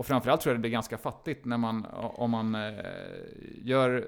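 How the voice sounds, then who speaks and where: With flat, monotone intonation, a man's medium-pitched voice proceeds at a moderate pace. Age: 40s. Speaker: podcast co-host. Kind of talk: casual chat.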